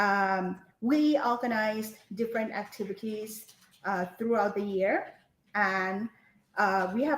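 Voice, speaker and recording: With a Thai accent, a woman speaks fairly slowly at a fairly high pitch, showing ordinary pitch variation. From Thailand. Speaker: English lecturer. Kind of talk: webinar interview. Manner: halting, many fillers.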